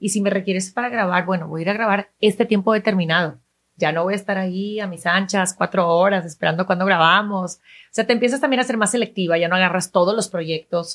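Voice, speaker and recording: The delivery moves at a very fast pace. Intonation stays fairly even throughout. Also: woman, medium pitch for a woman. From Venezuela. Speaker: TV news presenter. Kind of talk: interview.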